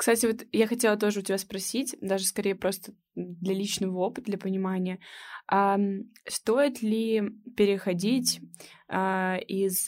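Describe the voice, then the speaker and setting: A woman with a plain, everyday voice at a medium pitch, fairly even intonation and a moderate pace, in a very clean recording with a silent background. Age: 20s. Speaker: student podcast host. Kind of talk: casual interview chat. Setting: recording room.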